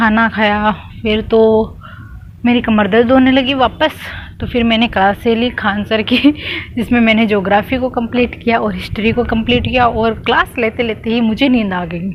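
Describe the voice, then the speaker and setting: Over noticeable background noise, a woman talks with fairly even intonation in a fairly high pitch. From Rajasthan, Marwar region. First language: Marwari (speaking Hindi). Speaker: exam aspirant vlogger. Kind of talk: casual vlog talk. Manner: chatty, rambling.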